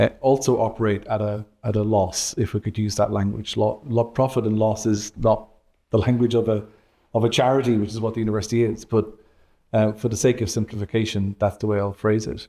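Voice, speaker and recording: A man talks at a fairly quick pace in a fairly low, dark and mellow voice with monotone, flat intonation. The recording is very clean, with a silent background. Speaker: university vice-principal and economics professor. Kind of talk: interview. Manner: hesitant, many fillers.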